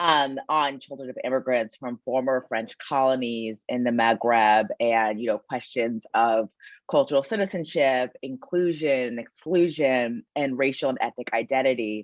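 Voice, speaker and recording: Speaking with an American accent, a woman with a very deep, low pitch and ordinary pitch variation goes at a fairly slow pace with hardly any pauses. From United States. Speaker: sociology professor. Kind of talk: panel talk.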